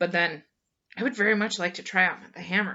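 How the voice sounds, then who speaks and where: A woman's put-on character voice, raspy and medium in pitch, at a fairly quick pace. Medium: read story. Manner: blunt.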